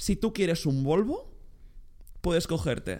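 A man with a dark, mellow tone and lively intonation, on a very clean recording with a silent background. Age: young. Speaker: podcast co-host. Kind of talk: casual chat. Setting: new studio on sofas. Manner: stuttering.

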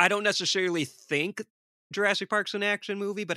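Bright and sharp, a man with a Midwestern accent projects a raised voice in a dry, close sound with no echo. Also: very clean recording, silent background. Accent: American Midwest. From Detroit, US. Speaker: horror filmmaker and podcast host. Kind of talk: casual chat.

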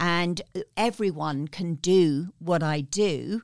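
A woman at a fairly low pitch with a British accent, in a dry, close sound with no echo. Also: very clean recording, silent background. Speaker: guest coach and speaker. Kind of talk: storytelling interview.

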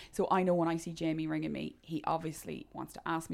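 A woman with an Irish accent. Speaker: gym coach. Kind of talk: casual chat.

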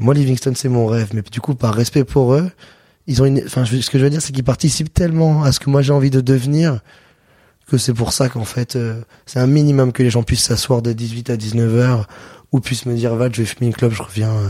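In a dark, mellow tone, a man speaks at a fairly quick pace, his medium pitch held to fairly even intonation. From southern France, Avignon. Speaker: chef and restaurant owner. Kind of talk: casual interview. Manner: casual, hesitant with fillers.

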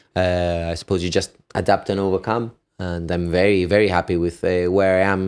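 A man with a Gibraltarian accent speaks at a moderate pace. His pitch is very deep and low, and his intonation is monotone and flat. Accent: Gibraltarian (Llanito) English. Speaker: firefighter and personal trainer. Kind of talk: casual interview.

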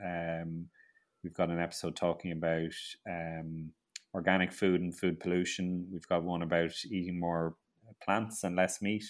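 In a very clean recording with a silent background, a man with an Irish accent speaks in a very deep, low pitch. His pace is moderate and his intonation monotone and flat. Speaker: grower, author and TV presenter. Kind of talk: casual interview. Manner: halting, repeats words.

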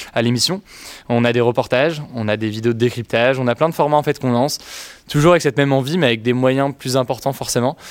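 A man talks at a very fast pace. His medium pitch follows fairly even intonation. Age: 20s. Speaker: youtuber. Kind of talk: interview.

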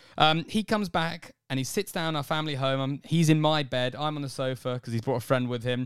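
On a very clean recording with a silent background, a man speaks at a fairly quick pace and a fairly high pitch. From England. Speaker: podcast co-host. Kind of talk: casual chat. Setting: small hot room in a flat, under the stairs.

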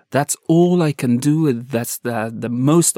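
A man with an Afghan accent on a very clean recording with a silent background. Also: dry, close sound with no echo. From Afghanistan. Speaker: journalist. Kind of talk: interview testimony. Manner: halting.

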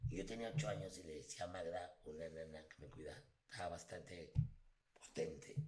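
Intonation is lively and the pace fairly quick, with big swings in loudness. Room echo is audible. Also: man, very deep, low pitch for a man. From Mexico City. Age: 40s. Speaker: voice actor. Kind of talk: casual chat.

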